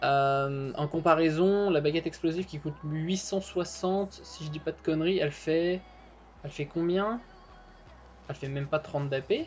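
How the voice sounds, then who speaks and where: The speaker talks at a fairly slow pace with ordinary pitch variation while music plays in the background. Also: woman, very deep, low pitch for a woman. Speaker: gaming YouTuber. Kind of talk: video commentary. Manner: halting, many fillers. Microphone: poor connection.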